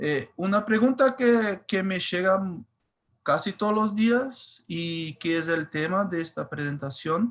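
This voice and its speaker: A man with a Brazilian accent, high pitch, ordinary pitch variation and a very slow pace. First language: Portuguese (speaking Spanish). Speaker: cybersecurity engineer. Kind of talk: webinar presentation. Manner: halting, many fillers.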